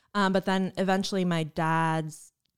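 A woman speaks with a New Jersey accent. The recording is very clean, with a silent background. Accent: New Jersey American. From New Jersey, US. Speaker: university staff, student affairs. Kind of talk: casual interview. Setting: studio.

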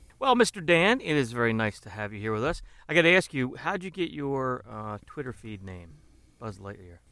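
A man's bright, sharp voice swings very widely in pitch. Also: medium pitch for a man, moderate pace. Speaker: podcast host. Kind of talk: casual banter podcast.

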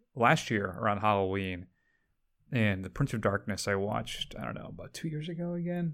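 This is a man with a normal speaking voice and lively intonation at a fairly quick pace. The recording is very clean, with a silent background. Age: 60s. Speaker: film podcast host. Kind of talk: casual chat.

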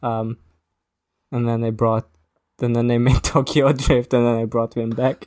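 A man with a British accent speaks in a flat monotone at a moderate pace. He pauses long and often, and the sound is dry and close with no echo. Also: medium pitch for a man. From Britain. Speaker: podcast co-host. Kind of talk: casual chat.

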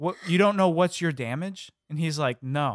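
This is a normal speaking voice with an American accent. It moves at a moderate pace with ordinary pitch variation. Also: man. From Illinois. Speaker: comedy podcast producer. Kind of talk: casual chat.

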